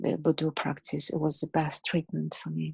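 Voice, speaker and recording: A woman with a Russian accent speaks in a very deep, low pitch. The sound is dry and close with no echo, over a quiet background. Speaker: martial arts teacher. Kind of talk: interview answer.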